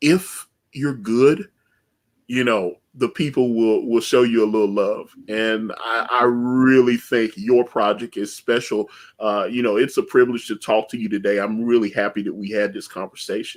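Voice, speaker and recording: Delivered at a moderate pace, the speech has fairly even intonation and comes in a Southern US accent. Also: man, medium pitch for a man. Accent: Southern twang. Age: 40s. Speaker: comic book creator and livestream host. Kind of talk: casual interview chat. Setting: live stream.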